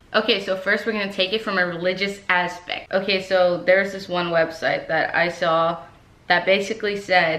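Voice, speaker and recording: A woman speaks at medium pitch in an American accent, her intonation monotone and flat. Audible room echo and noticeable background noise fill the recording. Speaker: YouTuber. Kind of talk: vlog. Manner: slower than usual.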